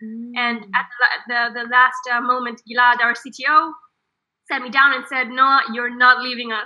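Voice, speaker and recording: A woman with an Israeli accent, high-pitched yet monotone and flat, fairly slow, with big swings in loudness. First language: Hebrew. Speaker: startup co-founder. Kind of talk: interview.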